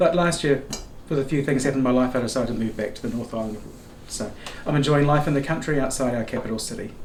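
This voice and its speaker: A man with a New Zealand accent at a very fast pace, with audible room echo. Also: medium pitch for a man, ordinary pitch variation. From New Zealand, Rotorua. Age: 50s. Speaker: guest traveller and knitter. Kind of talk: casual chat.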